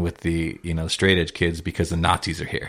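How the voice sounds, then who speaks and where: A man speaks in an American accent with a very deep, low pitch. The recording is very clean, with a silent background. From Southern California, South Bay. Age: 30s. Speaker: record label president. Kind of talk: casual chat.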